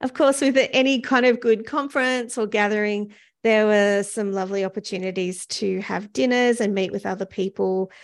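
Using a New Zealand accent, a woman with a fairly high pitch talks at a moderate pace with hardly any pauses over a quiet background. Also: ordinary pitch variation. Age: 50s. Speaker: podcast host. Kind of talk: solo podcast monologue. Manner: casual, with frequent fillers.

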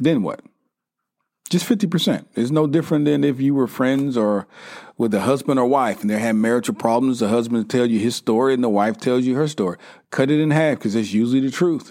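Spoken at a fairly quick pace in a Southern US accent, the voice holds a very even loudness on a very clean recording with a silent background. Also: man, medium pitch for a man, ordinary pitch variation. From US South, South Carolina. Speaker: podcast host. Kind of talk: casual monologue.

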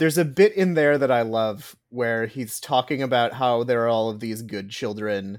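An ordinary speaking voice from a man, medium in pitch, at a moderate pace with hardly any pauses, ordinary pitch variation, and a very clean recording with a silent background. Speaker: podcast guest. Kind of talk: casual chat.

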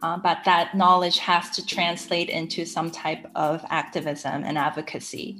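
An ordinary speaking voice from a woman at a medium pitch and a fairly slow pace. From Saudi Arabia, international school; Korean family, moved to US in high school. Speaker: environmental education adviser. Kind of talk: interview.

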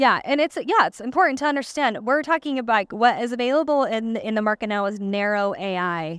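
Over a silent background in a very clean recording, a woman talks with hardly any pauses, her fairly high pitch carried by lively intonation in a dry, close sound with no echo. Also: fairly quick pace. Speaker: dental hygienist and marketer. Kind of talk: live podcast interview. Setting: stage with audience. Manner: soft-spoken.

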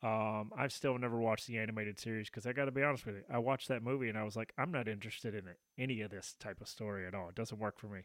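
Very fast speech from a man with a Southern US accent, medium pitch, fairly even intonation and hardly any pauses. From Tennessee. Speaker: podcast host. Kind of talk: casual chat.

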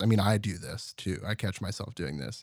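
A man with an American accent and fairly low pitch, at a moderate pace on a very clean recording with a silent background. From Terrell, Texas. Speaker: audio producer and musician. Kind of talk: casual interview. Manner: reserved, few words.

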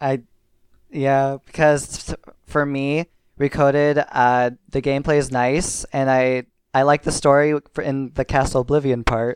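A man's fairly slow, fairly high-pitched, monotone delivery with a Minnesotan accent, dry and close with no echo on a very clean recording with a silent background. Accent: Minnesota. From US Midwest, Minnesota. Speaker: podcast patron, gaming fan. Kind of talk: casual chat.

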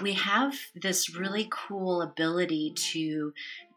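Very slow and calm, a woman speaks in a gentle yet bright, sharp tone with ordinary pitch variation, on a very clean recording with a silent background. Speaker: therapist, podcast guest. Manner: calm, gentle.

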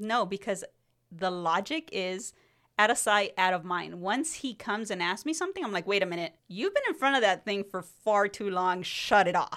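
A woman with a Spanish accent, medium pitch, ordinary pitch variation and a moderate pace, on a very clean recording with a silent background. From Mexico, then California. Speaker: podcast co-host. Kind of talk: casual chat.

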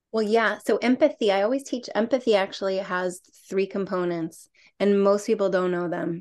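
A woman uses a plain, everyday voice at medium pitch, with ordinary pitch variation. She keeps a moderate pace over a quiet background. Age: 50s. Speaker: author and coach on five archetypes. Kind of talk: casual interview.

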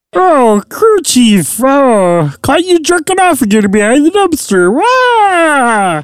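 A female-sounding voice uses a put-on character voice at a high pitch. It moves at a fairly slow pace with very wide pitch swings. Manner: mocking, crude.

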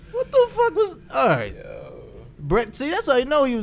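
A man talks at a fairly quick pace with very wide pitch swings. Noticeable background noise sits behind him. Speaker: podcast host. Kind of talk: casual chat. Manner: animated.

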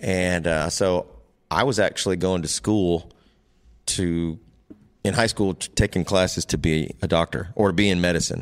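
An American-accented man with a very deep, low pitch, fairly even intonation and long, frequent pauses, on a very clean recording with a silent background. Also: moderate pace. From US Midwest, northeast Iowa (Waterloo). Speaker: NASCAR crew member. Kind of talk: casual interview chat.

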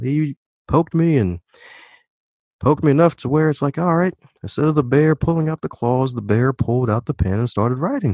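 Very fast speech comes from a man at a medium pitch. The sound is dry and close, with no echo. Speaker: author, podcaster and leadership trainer. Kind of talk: casual interview chat. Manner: animated, upbeat.

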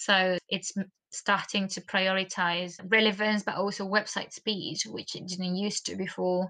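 A woman at medium pitch talks at a fairly slow pace in a bright, sharp tone, her intonation monotone and flat while her loudness swings widely. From Argentina. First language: Spanish. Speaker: marketing course creator. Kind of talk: casual interview. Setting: video call.

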